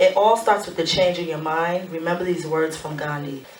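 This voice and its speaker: A woman speaks at a moderate pace in a medium pitch. Noticeable background noise runs under her voice. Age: 30s. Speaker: motivational speaker and author. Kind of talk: live talk with book reading. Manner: casual, conversational.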